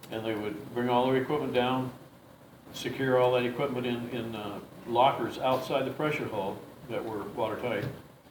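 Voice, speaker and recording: Amid noticeable background noise and audible room echo, a man with an American accent speaks at a moderate pace and medium pitch with fairly even intonation. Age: 70s. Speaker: war veteran. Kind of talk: interview. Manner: halting, with many fillers.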